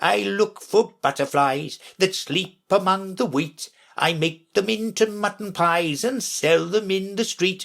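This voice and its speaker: A man's put-on character voice, mumbling at a high pitch and a fairly slow pace, in a very clean recording with a silent background. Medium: read story. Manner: slow, mild, mumbling.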